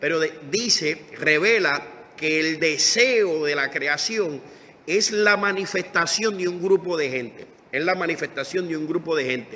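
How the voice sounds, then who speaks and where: At a fairly slow pace, a high-pitched man talks with ordinary pitch variation, amid noticeable background noise and audible room echo. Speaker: pastor. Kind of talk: sermon. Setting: Facebook Live stream.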